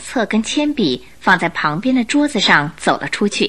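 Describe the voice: A woman's voice, medium in pitch and bright and sharp in tone, moves at a moderate pace with big pitch swings.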